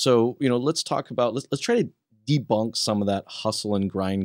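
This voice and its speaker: In a very clean recording with a silent background, a man with an American accent speaks with ordinary pitch variation, the sound dry and close with no echo. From Western United States. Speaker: podcast host. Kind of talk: casual interview chat. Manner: animated.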